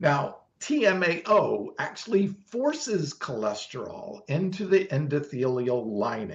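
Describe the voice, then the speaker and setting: Fairly high for a man, this voice has vocal fry and very wide pitch swings. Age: 60s. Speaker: vegan bodybuilding champion. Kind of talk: interview answer explaining nutrition science.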